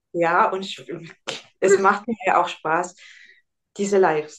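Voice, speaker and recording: A woman talks at a moderate pace in a normal speaking voice. Her pitch is medium. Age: 40s. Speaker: nutrition consultant. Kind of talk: interview.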